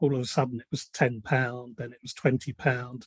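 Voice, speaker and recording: The speaker has a British accent, a somewhat breathy voice and a moderate pace. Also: man. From UK. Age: 70s. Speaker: community member. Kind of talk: casual group discussion.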